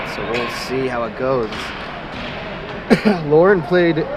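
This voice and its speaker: Through noticeable background noise and audible room echo, a man speaks at a moderate pace with ordinary pitch variation. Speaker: amateur youth hockey game commentator. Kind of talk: live commentary. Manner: loud, yelling.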